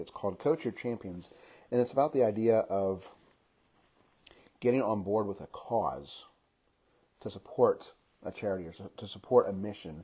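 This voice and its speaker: A man with a dark, mellow tone speaks at a moderate pace with ordinary pitch variation, big swings in loudness and long, frequent pauses. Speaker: motivational speaker. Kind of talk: casual monologue. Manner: hesitant, many fillers.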